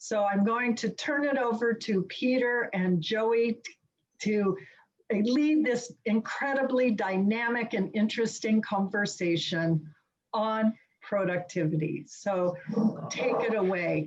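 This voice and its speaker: This woman talks very slowly, her fairly high pitch moving with ordinary variation. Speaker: webinar moderator. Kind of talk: speaker introduction. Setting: video call.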